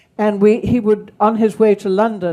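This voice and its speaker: In a southern English accent, a woman speaks at a medium pitch with a dark, mellow tone. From England, Kent. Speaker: speaker on wartime childhood. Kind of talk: talk with Q and A.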